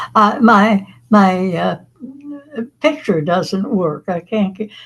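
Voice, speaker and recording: At a very slow pace, a woman speaks in a somewhat breathy, medium-pitched voice with ordinary pitch variation. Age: 80s+. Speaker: class participant. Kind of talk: casual chat. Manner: halting.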